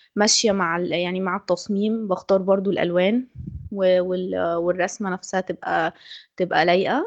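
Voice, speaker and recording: The speaker holds a moderate pace with a monotone, flat intonation. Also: woman, medium pitch for a woman. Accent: Egyptian. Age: 20s. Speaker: design student. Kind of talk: testimony.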